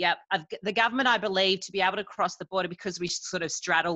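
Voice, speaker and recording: A woman with an Australian accent has a bright, sharp tone and ordinary pitch variation. The sound is dry and close with no echo, over a quiet background. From Queensland, Australia. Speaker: nurse and parent. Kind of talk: casual chat.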